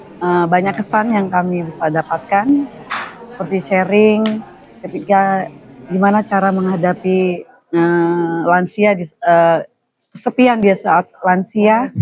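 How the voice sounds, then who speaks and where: Over music in the background, the speech moves at a very slow pace with ordinary pitch variation. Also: woman, medium pitch for a woman. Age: 50s. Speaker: parishioner. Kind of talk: vox pop interview. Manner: halting, with fillers.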